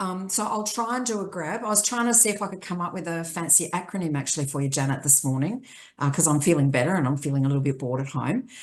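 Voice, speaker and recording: The speech comes in an Australian accent at a very fast pace. There are hardly any pauses. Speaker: aged care advocacy chief executive. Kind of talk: panel discussion. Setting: video call from home.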